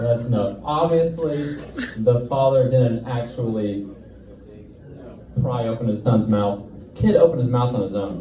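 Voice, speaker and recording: A man's medium-pitched voice with ordinary pitch variation, fairly slow with long, frequent pauses, amid noticeable background noise and audible room echo. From Tennessee. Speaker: comedian. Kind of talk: stand-up.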